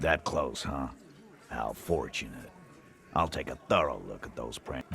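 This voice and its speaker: A man uses a put-on character voice with a very deep, low pitch and big swings in loudness at a moderate pace. Clear background noise runs underneath. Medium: video game. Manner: brusque, coarse.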